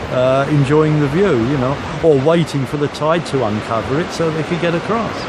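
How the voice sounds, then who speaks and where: Noticeable background noise and audible room echo surround a voice moving at a moderate pace with ordinary pitch variation. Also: man, fairly high pitch for a man. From London area, England. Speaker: coast watch volunteer. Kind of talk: interview. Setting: outdoors. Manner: hesitant, many fillers.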